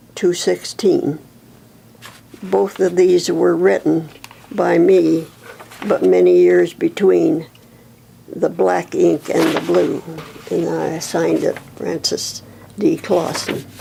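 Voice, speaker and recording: Noticeable background noise runs under this woman's voice. She talks very slowly, leaving long, frequent pauses. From Nebraska. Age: 90s. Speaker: oral history interviewee. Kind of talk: oral history interview; reading aloud.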